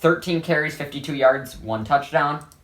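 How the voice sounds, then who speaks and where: A man with an ordinary speaking voice, fairly high pitch, ordinary pitch variation and a moderate pace. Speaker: sports vlogger. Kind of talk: sports analysis vlog. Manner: casual, rambling with fillers.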